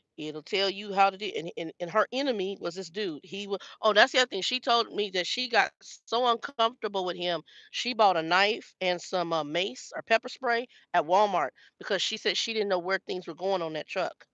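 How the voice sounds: The sound is dry and close, with no echo, and the tone is fairly bright. Pitch varies in an ordinary way at a moderate pace.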